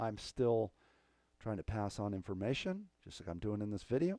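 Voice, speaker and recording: In a very clean, silent recording with a dry, close sound and no echo, a man speaks with a fairly low pitch and a dark, mellow tone. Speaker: drummer and music coach. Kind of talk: casual vlog talk to camera. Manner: rambling, casual.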